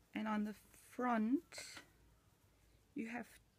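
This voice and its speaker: Her voice is somewhat breathy and sits at a fairly high pitch for a woman. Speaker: machine knitting tutor. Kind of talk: tutorial. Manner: hesitant, many fillers.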